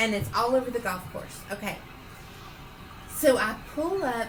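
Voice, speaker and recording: A woman with a Southern US accent sounds animated, speaking at a moderate pace and a fairly high pitch with lively intonation, amid audible room echo and noticeable background noise. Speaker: podcast co-host. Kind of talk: casual chat.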